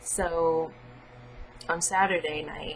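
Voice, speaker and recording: A woman talks in a fairly low pitch. Noticeable background noise sits behind her. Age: 20s. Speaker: vlogger, college student. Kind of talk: personal vlog monologue. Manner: casual, hesitant with fillers.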